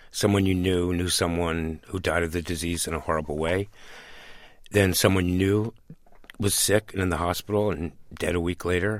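On a very clean recording with a silent background, a man speaks at a moderate pace in a very deep, low voice with monotone, flat intonation. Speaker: AIDS activist. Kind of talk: radio interview.

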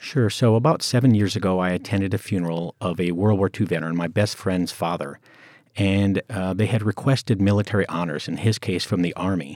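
On a very clean recording with a silent background and a dry, close sound with no echo, a man with a plain, everyday voice and an American accent speaks at a fairly quick pace, fairly low in pitch with ordinary pitch variation. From US, Colorado. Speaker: veteran advocate. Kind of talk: interview.

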